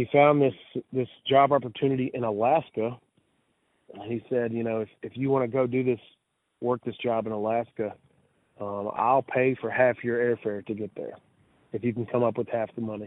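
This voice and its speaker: Speaking in a Mississippi accent, a man talks at a moderate pace with a medium pitch. His intonation is monotone and flat. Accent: Mississippi Southern US. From Mississippi Delta, US South. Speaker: blues musician. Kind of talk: interview. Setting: radio show.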